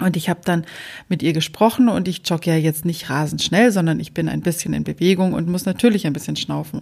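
The speaker moves at a fairly quick pace, with vocal fry and ordinary pitch variation. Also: woman, fairly low pitch for a woman. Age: 40s. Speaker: podcast host. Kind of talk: casual chat.

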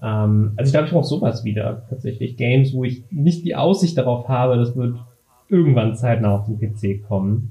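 A man speaks at a medium pitch and a moderate pace in a dark, mellow, somewhat breathy tone. His pitch varies in an ordinary way, and audible room echo surrounds him. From Berlin, Germany. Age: 20s. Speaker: former games video editor. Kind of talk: casual chat.

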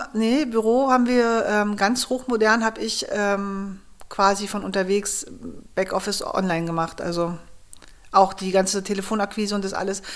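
A woman's medium-pitched voice holds fairly even intonation as she talks at a moderate pace. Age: 40s. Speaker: startup founder, geoscientist. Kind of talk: interview, personal story. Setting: at home.

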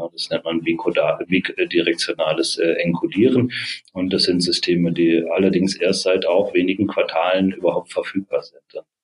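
Dry, close sound with no echo, from a man at a moderate pace. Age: 40s. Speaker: organizational psychologist and startup co-founder. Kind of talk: interview. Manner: many filler sounds, hesitant.

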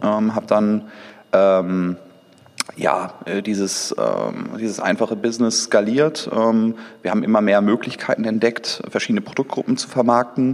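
Fairly slow speech from a man, with noticeable background noise. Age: 30s. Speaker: entrepreneur and digital executive. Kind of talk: interview. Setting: event venue overlooking Düsseldorf.

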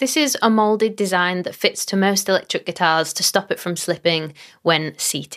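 On a very clean recording with a silent background, a woman speaks at a moderate pace and medium pitch with ordinary pitch variation, an unremarkable speaking voice. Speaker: podcast host. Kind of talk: casual interview chat. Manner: upbeat, friendly.

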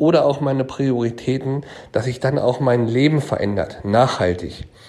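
With a plain, everyday voice, a man speaks at a moderate pace with ordinary pitch variation. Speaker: asset manager. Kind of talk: interview.

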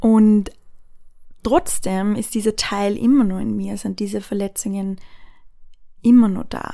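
Fairly even intonation carries a woman's very slow speech. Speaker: podcast host. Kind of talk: personal monologue. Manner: hesitant with filler sounds.

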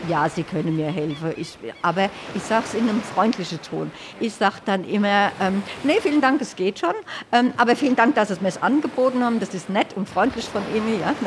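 Over noticeable background noise, a woman with a fairly high pitch speaks at a fairly quick pace in a cheerful tone with lively intonation. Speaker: accessibility activist. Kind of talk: interview. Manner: cheerful, laughing.

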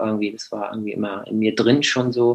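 Speaking at a medium pitch, a man keeps a monotone, flat intonation. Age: 20s. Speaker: beekeeper. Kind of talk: interview. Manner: halting.

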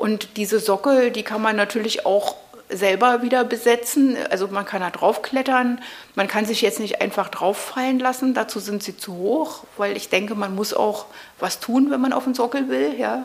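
At a moderate pace, a woman speaks with a fairly high pitch and ordinary pitch variation over noticeable background noise. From East Berlin, Prenzlauer Berg. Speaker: video artist. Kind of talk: interview conversation. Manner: hesitant, with many fillers.

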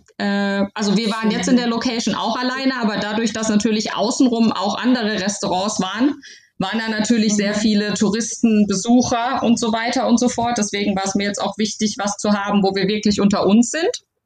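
A woman talks at a fairly quick pace with hardly any pauses, in an unremarkable speaking voice. Her pitch is fairly high and her intonation fairly even. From Baden-Württemberg, Heidelberg area. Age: 30s. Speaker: new mother and bride. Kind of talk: casual interview.

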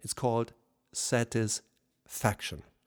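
In a German accent, a man speaks very slowly on a very clean recording with a silent background and a dry, close sound with no echo. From Germany. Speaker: leadership coach. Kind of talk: solo podcast monologue. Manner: formal.

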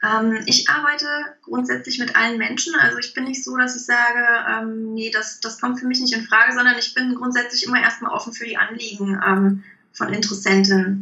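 The intonation stays fairly even throughout. Noticeable background noise and audible room echo are present. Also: woman, fairly high pitch for a woman, moderate pace. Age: 30s. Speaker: leadership coach. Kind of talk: interview. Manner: hesitant, many fillers.

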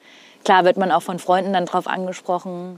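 At a fairly quick pace, a woman talks with a medium pitch and a normal speaking voice. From northern Hesse, Germany. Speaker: TV weather presenter. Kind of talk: casual chat. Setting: outdoors on a rooftop.

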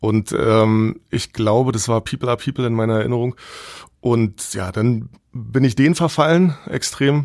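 An ordinary speaking voice at a moderate pace, with ordinary pitch variation. The recording is very clean, with a silent background. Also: man, medium pitch for a man. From East Berlin, Germany. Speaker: music tour guide. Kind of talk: casual interview.

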